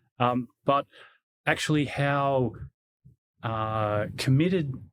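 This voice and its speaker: A man at a medium pitch in an Australian accent, very slow in pace, with ordinary pitch variation. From Australia, Canberra. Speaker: security executive. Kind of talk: interview. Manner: halting.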